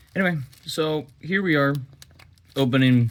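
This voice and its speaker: The talking moves along at a fairly slow pace while noticeable background noise sits underneath. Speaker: YouTuber opening card packs. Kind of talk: casual unboxing commentary.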